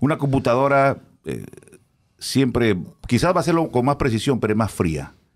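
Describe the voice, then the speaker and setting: Using vocal fry and lively intonation, a man speaks at a moderate pace with long, frequent pauses against a quiet background. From Peru. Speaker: radio announcer. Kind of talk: casual chat. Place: studio. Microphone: studio mic.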